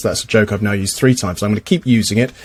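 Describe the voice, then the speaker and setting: A man with an English accent, music playing behind him. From England. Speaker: podcast host. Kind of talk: casual chat.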